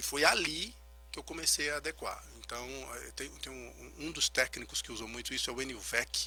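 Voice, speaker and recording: A man at a moderate pace with big swings in loudness, music in the background. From Brazil, Recife. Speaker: physical trainer and genetics consultant. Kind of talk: radio interview. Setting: radio studio. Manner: soft-spoken.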